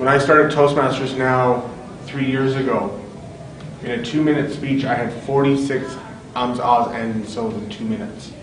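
Speech at a moderate pace with ordinary pitch variation comes through noticeable background noise and audible room echo. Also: man, medium pitch for a man. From western Canada. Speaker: public speaking club officer. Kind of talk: panel discussion. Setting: stage with audience. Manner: loud. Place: hall. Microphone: camera far.

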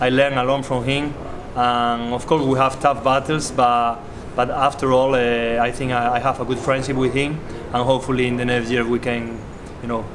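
Over noticeable background noise, a man speaks at a moderate pace. His intonation is monotone and flat. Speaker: professional squash player. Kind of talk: tribute interview. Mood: warm, reflective. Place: hall.

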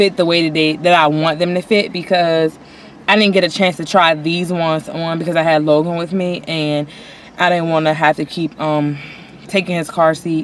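Speaking at a moderate pace in a fairly low, monotone, flat voice, a woman is heard in a dry sound with no echo over light background noise. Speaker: vlogger. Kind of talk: casual vlog chat. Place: car. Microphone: phone near.

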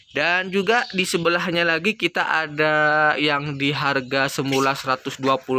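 A man's upbeat, bright and sharp voice comes through a dry sound with no echo, showing ordinary pitch variation. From East Java, Indonesia. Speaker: plant seller vlogger. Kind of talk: street-seller sales pitch, rattling off promo prices with repeated phrases. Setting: plant shop, filmed video. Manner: repetitive, pushy and upbeat, repeating each price two or three times. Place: garden. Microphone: phone near.

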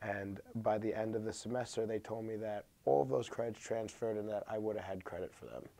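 A man speaks at a fairly quick pace with hardly any pauses, his fairly low voice carrying a dark, mellow tone. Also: ordinary pitch variation. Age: 20s. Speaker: college student. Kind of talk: interview. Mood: frustrated but calm. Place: studio.

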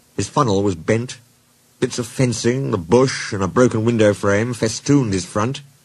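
This is a natural reading voice. It shows ordinary pitch variation.

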